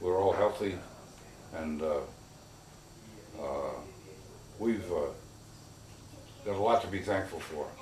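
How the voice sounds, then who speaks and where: A man with a fairly low pitch speaks at a fairly slow pace, his pitch varying in an ordinary way and broken by long, frequent pauses. Audible room echo and noticeable background noise fill the recording. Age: 80s+. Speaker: retired real estate man. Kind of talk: interview. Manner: halting, many fillers.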